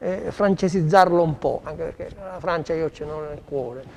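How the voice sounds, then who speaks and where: The tone is dark and mellow. The pace is moderate. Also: man. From Sicily. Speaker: chef. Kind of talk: cooking demonstration. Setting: studio.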